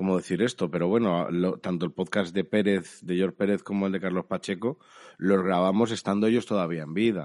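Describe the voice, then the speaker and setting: A man with a very deep, low pitch speaks at a fairly quick pace with fairly even intonation. The background is quiet. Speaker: comics podcast co-host. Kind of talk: casual chat.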